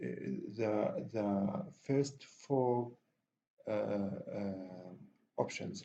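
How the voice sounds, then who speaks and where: A man with a non-native accent, a dark, mellow tone, very wide pitch swings and a very slow pace. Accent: non-native accent, self-described. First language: not English. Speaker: software tutorial instructor. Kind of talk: tutorial. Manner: halting, many fillers.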